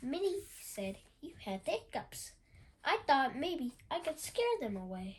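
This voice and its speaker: A woman speaks at a fairly slow pace in a put-on character voice, her high pitch making very wide swings. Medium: read story.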